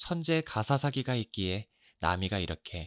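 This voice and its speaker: A man speaks fairly slowly with very wide pitch swings, the sound dry and close with no echo on a very clean recording with a silent background. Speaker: audiobook narrator. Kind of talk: audiobook reading, narration of a novel. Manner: calm, soft-spoken, ASMR-style.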